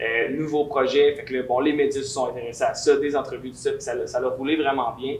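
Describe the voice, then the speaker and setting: With a Quebec accent, a man speaks at a fairly quick pace with hardly any pauses and monotone, flat intonation. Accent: Québécois French. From Quebec, Lévis. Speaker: singer and musician. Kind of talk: interview. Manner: casual, many fillers.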